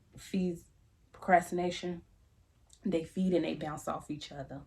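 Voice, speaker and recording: Soft-spoken, with vocal fry, a dark, mellow tone and fairly even intonation, the woman keeps her delivery low-key. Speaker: YouTuber giving life advice. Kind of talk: casual monologue to camera. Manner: conversational, repetitive fillers.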